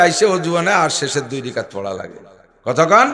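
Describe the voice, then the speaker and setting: A man's raised, projected voice in audible room echo. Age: old. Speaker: Islamic preacher. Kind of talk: sermon.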